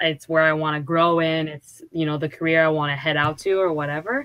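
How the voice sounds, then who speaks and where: A woman speaks with a very deep, low pitch and a bright, sharp tone. The recording is very clean, with a silent background. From Quebec, Montreal. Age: 20s. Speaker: competitive gamer. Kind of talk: casual chat.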